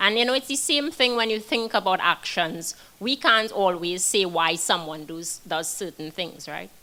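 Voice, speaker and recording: A non-native accent at a moderate pace, with lively intonation and hardly any pauses. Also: woman, medium pitch for a woman. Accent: foreign. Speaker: criminal defense attorney. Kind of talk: panel discussion.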